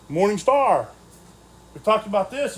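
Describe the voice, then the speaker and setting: With lively intonation, a man speaks at a moderate pace in a high pitch. Noticeable noise runs in the background. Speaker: Bible study teacher. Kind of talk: Bible study lecture. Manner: halting, stumbling over words.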